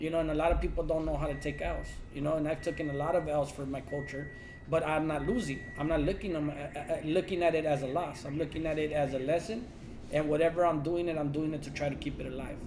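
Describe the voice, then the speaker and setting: A man speaks very fast in a fairly high pitch with fairly even intonation. Noticeable background noise and audible room echo surround his voice. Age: 30s. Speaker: lowrider club member. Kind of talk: casual chat.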